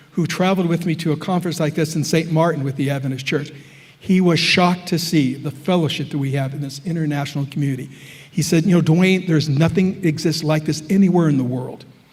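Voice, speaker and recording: Over noticeable background noise and audible room echo, a man with an American accent talks at a very fast pace in a fairly high voice with fairly even intonation. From US Midwest, Chicago area. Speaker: professor. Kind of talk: lecture.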